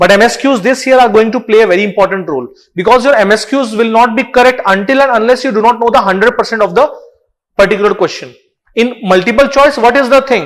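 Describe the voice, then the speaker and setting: A man talks at a very fast pace. His voice is extremely high, with ordinary pitch variation. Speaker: online exam-prep teacher. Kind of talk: live online lecture. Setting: live online class. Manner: code-switching Hindi and English.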